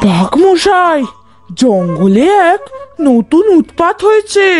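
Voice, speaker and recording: A cartoonish character voice, extremely high with very wide pitch swings, at a fairly slow pace over faint background music. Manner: lively, expressive storyteller.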